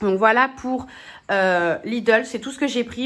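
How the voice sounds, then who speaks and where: A woman is speaking at a moderate pace. Her pitch varies an ordinary amount. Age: 20s. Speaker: vlogger. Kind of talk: casual vlog narration. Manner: casual, with filler hesitations. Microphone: damaged mic, poor voiceover sound.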